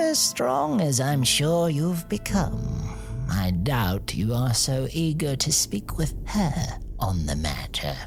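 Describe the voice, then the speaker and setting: A put-on character voice at a low-to-middle pitch and fairly slow pace, over loud music in the background. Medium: audio drama. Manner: dry, measured, learned.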